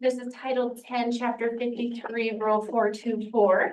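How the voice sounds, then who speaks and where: A woman talks at a moderate pace. Hers is a plain, everyday voice. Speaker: education specialist presenting standards. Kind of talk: presentation to a board.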